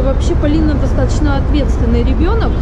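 A woman speaks over loud background noise. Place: street. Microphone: phone near.

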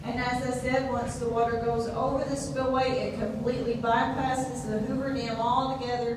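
Amid strong room echo and noticeable background noise, a woman speaks at a fairly quick pace with a high pitch and monotone, flat intonation. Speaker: tour guide. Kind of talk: guided tour talk. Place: hall.

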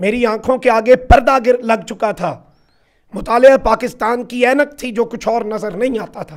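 Animated in tone, the speaker moves at a fairly slow pace with ordinary pitch variation. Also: man, extremely high pitch for a man. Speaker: journalist. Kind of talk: interview.

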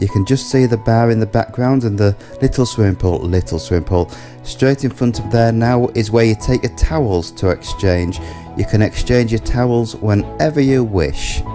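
With music in the background, a man speaks at a moderate pace in a fairly low pitch, with ordinary pitch variation and very even loudness. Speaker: holiday vlogger. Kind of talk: casual travel commentary.

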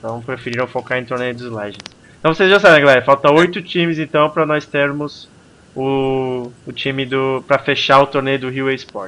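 A man speaks in a normal speaking voice at a moderate pace, with ordinary pitch variation and big swings in loudness. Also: medium pitch for a man. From Brazil. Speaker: gaming livestream host; stream host. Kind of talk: casual chat. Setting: live stream with Skype call. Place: home room. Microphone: headset.

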